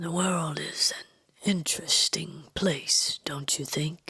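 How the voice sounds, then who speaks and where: A woman puts on a raspy character voice at a fairly low pitch, speaking very slowly. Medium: read story. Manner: calm, measured, mesmerizing.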